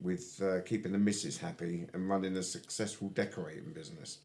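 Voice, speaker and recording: Speaking with an English accent at a moderate pace, a man uses a fairly low pitch with very wide pitch swings. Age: 60s. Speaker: podcast host. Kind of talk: podcast interview. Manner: casual.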